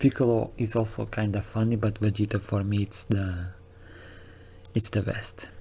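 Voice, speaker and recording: A man's fairly low, somewhat breathy voice with a dark, mellow tone, monotone, flat intonation, a moderate pace, and long, frequent pauses. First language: not English. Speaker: anime reaction youtuber. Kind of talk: casual episode recap commentary. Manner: casual, hesitant with fillers and restarts.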